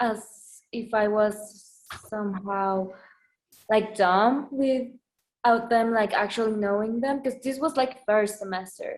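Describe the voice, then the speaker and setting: Music in the background behind a woman with a Spanish accent, fairly high pitch, very slow pace and fairly even intonation. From Mexico, Mexico City. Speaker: recent graduate, interviewee. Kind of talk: interview. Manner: hesitant with fillers.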